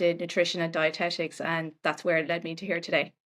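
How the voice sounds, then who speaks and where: A woman speaks with an Irish accent. Her fairly low voice has monotone, flat intonation. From Ireland. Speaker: nutritionist. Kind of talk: podcast interview.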